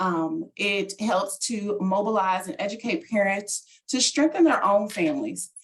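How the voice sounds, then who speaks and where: Somewhat breathy, the speech has lively intonation and a moderate pace. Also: woman. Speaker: parent program trainer. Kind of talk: webinar presentation. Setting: video call. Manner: animated.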